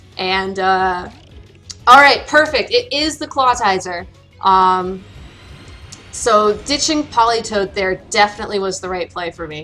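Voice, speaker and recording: Over music in the background, a woman at a medium pitch speaks fairly slowly with lively intonation and big swings in loudness. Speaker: competitive video game player. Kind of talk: casual gameplay commentary.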